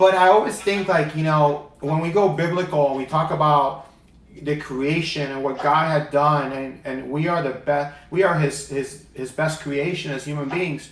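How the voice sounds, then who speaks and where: With noticeable background noise behind him, a man with a fairly high voice speaks in fairly even intonation. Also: moderate pace. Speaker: talk show host, inspirational speaker. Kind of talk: talk show host interview.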